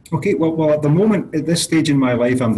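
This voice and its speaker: Light background noise runs under a man's voice. He speaks with ordinary pitch variation. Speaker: guest. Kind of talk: interview answer. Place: office. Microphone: webcam.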